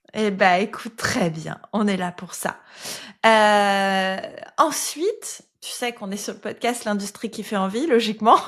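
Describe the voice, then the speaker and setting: On a very clean recording with a silent background, a fairly high-voiced woman speaks very slowly, with ordinary pitch variation and big swings in loudness. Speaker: podcast host. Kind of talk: interview podcast.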